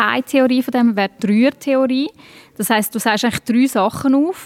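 A woman's fairly quick, fairly even delivery, an unremarkable speaking voice, in a dry, close sound with no echo. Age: 40s. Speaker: stand-up comedian. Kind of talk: interview.

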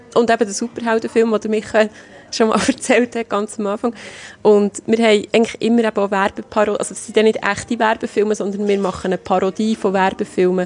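A woman talks at a fairly quick pace with a fairly high pitch and monotone, flat intonation. Noticeable background noise runs underneath. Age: 40s. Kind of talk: interview.

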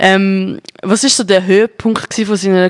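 A woman with a Zurich accent at a very slow pace. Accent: Zurich Swiss German. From Zurich, Switzerland. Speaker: radio host. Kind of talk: casual interview. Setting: studio.

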